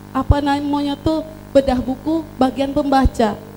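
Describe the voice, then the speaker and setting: Very slowly, a woman speaks in a high voice with fairly even intonation. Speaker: book reviewer at a launch. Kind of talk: public speech at book launch.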